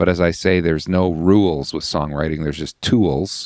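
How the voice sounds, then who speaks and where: Speaking at a moderate pace with ordinary pitch variation, a man with a Canadian accent has a very deep, low pitch. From Canada, British Columbia. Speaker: worship songwriter. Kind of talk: interview storytelling.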